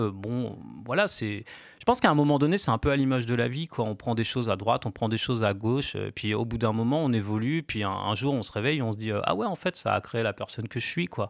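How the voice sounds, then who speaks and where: A man races along at a very fast pace in a very clean recording with a silent background. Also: medium pitch for a man, ordinary pitch variation. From Normandy, France (Cherbourg). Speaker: graffiti artist. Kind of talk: radio interview.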